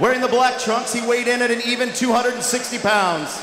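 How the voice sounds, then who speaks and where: Amid light background noise and audible room echo, a man speaks at an extremely high pitch. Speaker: professional ring announcer. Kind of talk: boxing ring announcement. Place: stadium. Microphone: handheld.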